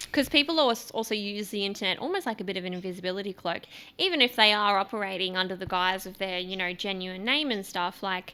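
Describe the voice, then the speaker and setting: Talking very fast with hardly any pauses, a woman speaks in an Australian accent. Her pitch is medium, with ordinary variation. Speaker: podcast host. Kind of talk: casual chat.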